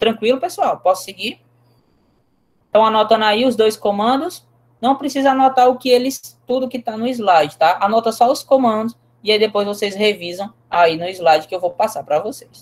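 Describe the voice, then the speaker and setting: A woman's normal speaking voice, fairly high-pitched, at a moderate pace with lively intonation. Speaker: teacher. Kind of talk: lecture.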